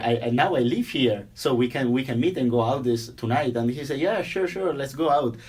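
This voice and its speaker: Here is a man with an Italian accent. His pitch is medium, with ordinary pitch variation. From Italy, near Venice. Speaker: software engineer. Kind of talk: interview. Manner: halting, many repeated words.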